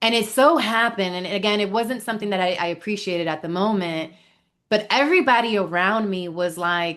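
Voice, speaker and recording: Animated in tone, a woman with a Spanish accent talks at a fairly quick pace with ordinary pitch variation over a quiet background. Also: medium pitch for a woman. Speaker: life coach. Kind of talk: podcast interview.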